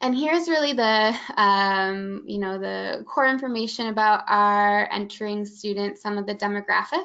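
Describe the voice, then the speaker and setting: With a Midwestern accent, a woman speaks at a moderate pace and medium pitch, with ordinary pitch variation and hardly any pauses. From Michigan, US Midwest. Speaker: college admissions staff. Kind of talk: webinar presentation. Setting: online webinar.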